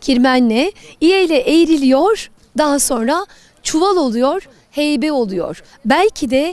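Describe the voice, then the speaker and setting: A woman speaks very slowly in a high voice. Her pitch swings very widely. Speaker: TV presenter. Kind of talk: TV program presenting to camera.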